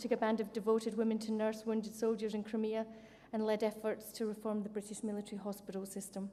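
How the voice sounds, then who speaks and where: Over noticeable background noise, a woman with a Scottish accent speaks at a fairly quick pace and a fairly high pitch. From Scotland. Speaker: military officer, award winner. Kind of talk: award acceptance speech.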